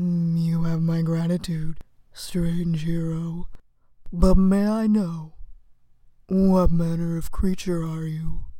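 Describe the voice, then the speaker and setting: In a put-on character voice, the speaker drawls very slowly at a middle pitch with monotone, flat intonation and long, frequent pauses. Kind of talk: formal, courteous. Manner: drawling.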